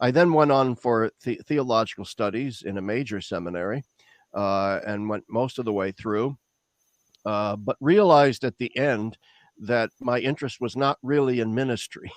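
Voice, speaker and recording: A man with an American accent speaks at a moderate pace in a medium pitch, with ordinary pitch variation, over a quiet background in a dry, close sound with no echo. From US Midwest, Lincoln, Nebraska. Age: 60s. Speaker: theologian. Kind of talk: interview. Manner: halting, many fillers and repetitions.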